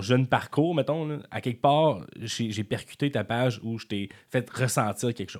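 A plain, everyday voice from a man, with lively intonation, on a very clean recording with a silent background. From Quebec City area, Quebec. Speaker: comedian. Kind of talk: casual chat. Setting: studio.

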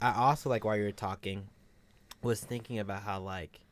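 At a fairly quick pace, a man talks in a fairly low pitch on a very clean recording with a silent background. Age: 20s. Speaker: podcast co-host, college student. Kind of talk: casual chat.

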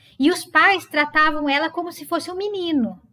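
A woman speaks at a moderate pace in a high voice. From Brazil, Sorocaba (São Paulo state). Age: 40s. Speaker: psychologist and psychoanalysis lecturer. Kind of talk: casual interview conversation.

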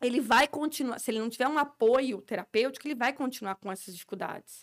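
Her pitch is high for a woman, and she talks at a fairly quick pace. The recording is very clean, with a silent background. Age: 40s. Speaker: speech therapist. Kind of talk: interview.

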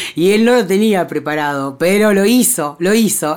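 In a Rioplatense accent, the speaker talks at a fairly slow pace with very wide swings in pitch. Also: woman. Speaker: podcast host. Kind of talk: casual monologue. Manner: chatty, filler-heavy.

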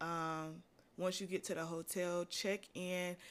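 In a very clean recording with a silent background, a woman talks at a medium pitch and a very slow pace. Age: 20s. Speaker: podcast host and college student. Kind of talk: casual monologue. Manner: casual, conversational with filler words.

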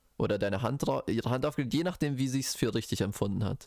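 A normal speaking voice from a man, medium in pitch with ordinary pitch variation, in a very clean recording with a silent background. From Bochum, Ruhr area, Germany. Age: 20s. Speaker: podcast co-host, biology student. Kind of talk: casual chat.

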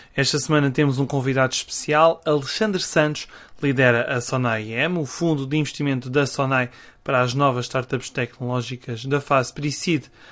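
With a European Portuguese accent, a man talks at a moderate pace and medium pitch with fairly even intonation over a quiet background. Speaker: podcast host. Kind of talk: scripted intro; interview.

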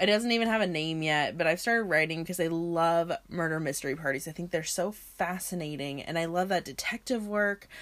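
Her ordinary speaking voice sits fairly low, and this woman moves at a fairly quick pace with ordinary pitch variation and hardly any pauses. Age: 20s. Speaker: podcast host. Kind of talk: casual solo podcast monologue.

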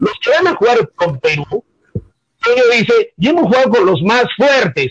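A man is speaking. His pace is fairly slow. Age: 60s. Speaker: sports radio commentator. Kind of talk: casual chat.

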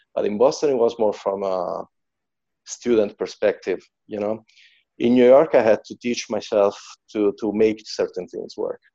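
A man speaks with an Italian accent at a moderate pace. His speech has long, frequent pauses. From central Italy, Macerata. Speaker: drummer and music teacher. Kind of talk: casual interview. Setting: video call. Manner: halting, with hesitations.

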